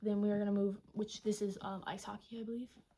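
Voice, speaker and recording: Soft-spoken and somewhat breathy, a woman talks at a fairly quick pace in a medium pitch, with a dark, mellow tone and fairly even intonation. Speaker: booktuber. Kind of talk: casual chat.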